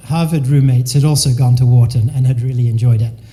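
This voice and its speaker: Audible room echo around a man's fairly quick delivery. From England, raised mostly in the US (Delaware). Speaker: business consultant and keynote speaker. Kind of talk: keynote talk. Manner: casual, conversational.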